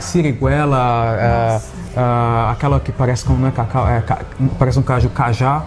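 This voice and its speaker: This man talks at a moderate pace and medium pitch, with ordinary pitch variation and very even loudness. Noticeable background noise sits behind him. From Belo Horizonte, Minas Gerais, Brazil. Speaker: beer sommelier. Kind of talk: interview answer.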